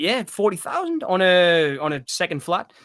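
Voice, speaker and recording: At a moderate pace, a man with a high, bright, sharp-toned voice is recorded with a dry, close sound and no echo. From Northeast England. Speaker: film podcast co-host. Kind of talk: casual chat. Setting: live stream.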